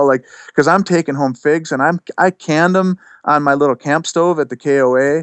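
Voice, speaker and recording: A man speaks in a plain, everyday voice, fairly high in pitch, with ordinary pitch variation at a moderate pace. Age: 40s. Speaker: self-employed plant grower and broom maker. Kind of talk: casual podcast interview.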